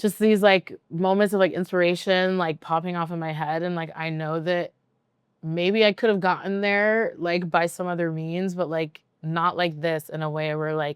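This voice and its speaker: In a quiet background, a woman uses a plain, everyday voice with a fairly low pitch and fairly even intonation. She keeps a moderate pace, and the sound is dry and close with no echo. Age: 30s. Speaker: DJ. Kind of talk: casual chat. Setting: recorded at a venue. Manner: many filler words, rambling pace.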